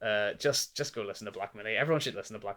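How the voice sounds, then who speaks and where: This is a man with a Northern Irish accent and a medium-pitched voice. The recording is very clean, with a silent background. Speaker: music reviewer. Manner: casual, lots of filler words.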